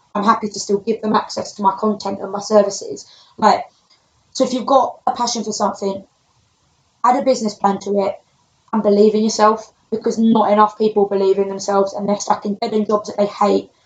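A woman with a London accent speaks at a fairly quick pace. Her fairly high voice stays monotone, with flat intonation. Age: 20s. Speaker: personal trainer. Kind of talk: casual chat.

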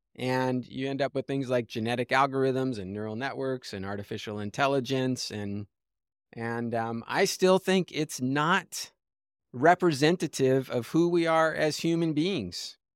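A man with an American accent has an unremarkable speaking voice at a medium pitch, talking at a fairly slow pace with lively intonation. The recording is very clean with a silent background and a dry, close sound with no echo. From US West Coast (Los Angeles). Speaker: systems scientist and finance entrepreneur. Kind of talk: interview conversation.

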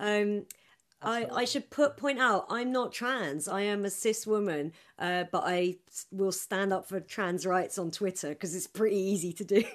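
Her pitch medium and its variation ordinary, a woman talks at a moderate pace. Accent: English. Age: 30s. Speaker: comedian. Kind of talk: casual chat. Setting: video call.

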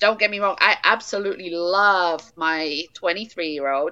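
With an English accent, this voice has a bright, sharp tone, ordinary pitch variation and a fairly slow pace. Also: woman. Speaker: founder of a stillbirth support nonprofit. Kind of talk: interview.

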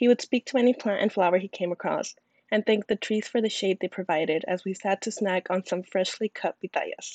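A woman speaks with an unremarkable speaking voice at a medium pitch and a fairly quick pace. Her intonation is fairly even, and the sound is dry and close with no echo. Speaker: podcast host. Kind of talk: scripted student podcast.

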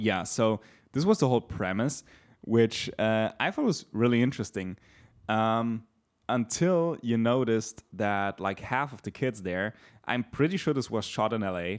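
A man of medium pitch talks at a fairly slow pace with ordinary pitch variation and an unremarkable speaking voice, on a very clean recording with a silent background. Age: 20s. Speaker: podcast co-host. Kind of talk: casual chat.

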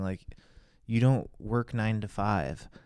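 On a very clean recording with a silent background, a man with a Californian accent speaks with ordinary pitch variation. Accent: Californian American. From Los Angeles, Hollywood. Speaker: podcast co-host, father. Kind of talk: casual chat.

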